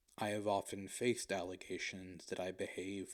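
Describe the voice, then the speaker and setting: This robotic voice moves at a moderate pace. Its intonation is monotone and flat. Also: man. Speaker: video essayist. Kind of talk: introspective monologue. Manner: monotone, robotic cadence; formal.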